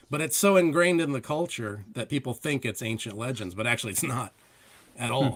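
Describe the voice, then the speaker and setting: An unremarkable speaking voice from a man with an American accent, medium in pitch, fairly quick, with lively intonation. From Ohio. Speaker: comic book creator. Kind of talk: casual chat.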